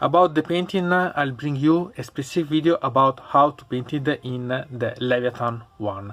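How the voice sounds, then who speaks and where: A man speaks with an Italian accent. His pace is moderate and his pitch variation ordinary. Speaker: hobbyist YouTuber, miniatures painter. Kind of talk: unboxing review. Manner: halting.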